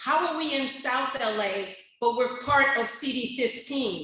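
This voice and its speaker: There is audible room echo around her. A woman talks in a raised, projected voice at a high pitch. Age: 60s. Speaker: community member at public comment. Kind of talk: public comment speech. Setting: public meeting, speaking at a microphone. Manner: impassioned.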